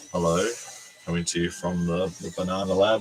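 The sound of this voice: Doing a put-on character voice, a man croaks out his lines at a very deep, low pitch, flat and monotone, at a fairly quick pace over clear background noise.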